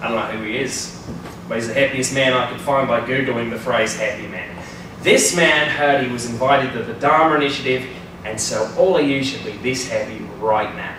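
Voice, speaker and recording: A man's fairly quick speech with ordinary pitch variation, amid audible room echo and noticeable background noise. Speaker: presenter. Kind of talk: humorous presentation talk. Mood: playful, joking. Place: classroom. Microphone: camera far.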